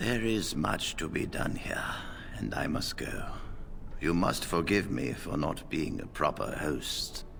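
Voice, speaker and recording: A man puts on a character voice with a very deep, low pitch, speaking at a fairly slow pace over clear background noise. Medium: video game. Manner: measured, authoritative.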